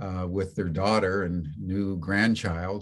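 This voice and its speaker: With a very deep, low pitch, a man speaks at a fairly slow pace and fairly even intonation over a quiet background. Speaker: webinar host. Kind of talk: speech to webinar audience. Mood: earnest, becoming somber. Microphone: video call.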